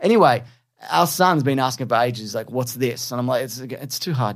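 A man talks very fast in a very clean recording, with a silent background. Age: 40s. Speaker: podcast co-host. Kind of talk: casual chat.

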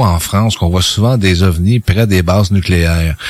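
Speaking at a fairly slow pace, a man with a very deep, low voice uses ordinary pitch variation amid noticeable background noise. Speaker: radio co-host, UFO investigator. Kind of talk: radio interview.

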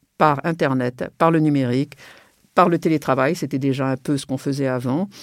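Very deep, low female voice at a moderate pace with ordinary pitch variation, in a very clean recording with a silent background. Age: 70s. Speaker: serial entrepreneur. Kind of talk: interview.

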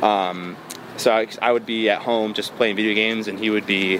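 An American accent comes through at a moderate pace with fairly even intonation. Noticeable background noise sits behind the speech. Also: man. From US Midwest, Metro Detroit, Michigan. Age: 20s. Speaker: electronic music producer. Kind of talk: interview. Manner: casual, filler-heavy.

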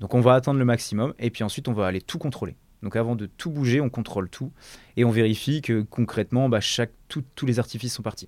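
A man talks at a very fast pace, his pitch medium with ordinary variation. The recording is very clean, with a silent background. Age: 30s. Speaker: fireworks technician. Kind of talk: interview.

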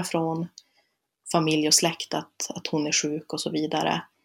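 A woman talks at a moderate pace in a fairly low voice. The recording is very clean, with a silent background. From northern Sweden, Luleå area. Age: 20s. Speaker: student and speaker on being a relative of someone with bipolar disorder. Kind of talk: casual interview chat.

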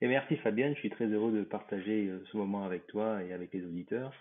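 A man with an unremarkable speaking voice talks fairly quickly at a fairly low pitch. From Réunion. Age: 50s. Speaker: airline pilot. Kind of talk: interview.

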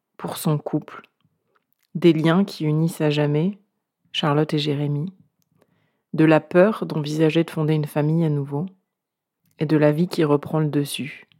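A woman speaks at a fairly slow pace with a very deep, low pitch. Her tone is dark and mellow, and her intonation stays monotone and flat. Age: 40s. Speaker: podcast creator. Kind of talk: narration.

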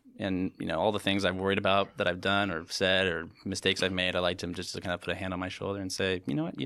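Speaking at a very fast pace, a man uses a very deep, low pitch. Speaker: winery representative. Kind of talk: casual chat.

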